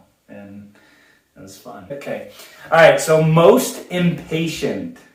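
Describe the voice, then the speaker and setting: A man with an American accent speaks at a very slow pace in a fairly high voice, his pitch swinging very widely and his loudness rising and falling sharply, with audible echo in the room. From Southern California. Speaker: husband in couple interview. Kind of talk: casual chat. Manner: loud, cannot whisper.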